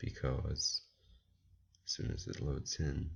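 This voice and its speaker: This man talks in a very deep, low pitch. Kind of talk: sports commentary talking to camera.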